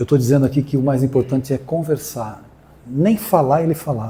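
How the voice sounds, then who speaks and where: Somewhat breathy and dark, mellow in tone, a man speaks at a moderate pace. His pitch is medium, with ordinary variation. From Brazil, São Paulo coast (Guarujá). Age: 60s. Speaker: spiritist speaker. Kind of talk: inspirational talk.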